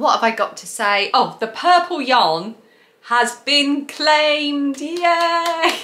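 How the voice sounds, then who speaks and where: In a southern English accent, a woman speaks in a raised, projected voice with a high pitch and lively intonation at a very slow pace. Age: 40s. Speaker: craft video creator; craft podcast host. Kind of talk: casual monologue to camera. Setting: home recording to camera. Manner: chatty, frequent fillers. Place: home room.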